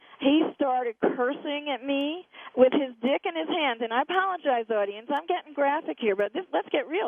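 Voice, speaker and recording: A woman's high voice with lively intonation, at a moderate pace with hardly any pauses. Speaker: radio talk show host. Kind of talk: radio interview.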